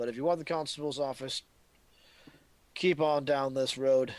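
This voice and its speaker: This man puts on a gruff character voice at a medium pitch. His intonation stays fairly even at a moderate pace, in a very clean recording with a silent background. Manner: hostile, spitting.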